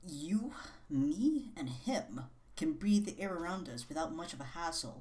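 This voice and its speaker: Whispering at a fairly slow pace. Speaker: video essayist / book commentator. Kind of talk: casual commentary. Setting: at home at midnight.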